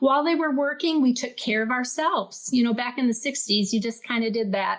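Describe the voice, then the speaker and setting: A woman's high voice, with normal pitch movement, comes through clear background noise. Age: 60s. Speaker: retired music teacher, pastor's wife. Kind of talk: personal testimony in interview.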